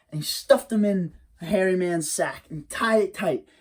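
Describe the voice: In this plain reading aloud, the pitch shifts in an ordinary manner.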